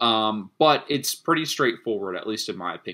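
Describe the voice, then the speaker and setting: A man talks at a fairly quick pace in an ordinary speaking voice with lively intonation. The recording is very clean, with a silent background. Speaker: math tutor. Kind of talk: tutorial.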